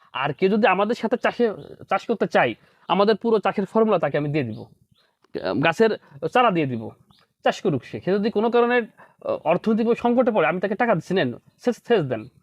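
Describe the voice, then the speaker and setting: This man's voice is pitched high. His intonation moves in a lively way. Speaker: doctor and farmer. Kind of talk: interview.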